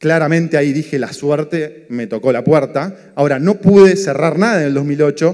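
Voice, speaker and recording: A man's dark, mellow tone in a Rioplatense accent, fairly slow pace, and quiet background. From Argentina, Buenos Aires. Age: 40s. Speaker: economist and entrepreneur, speaker; speaker. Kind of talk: motivational talk. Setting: stage with audience. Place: stage. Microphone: handheld.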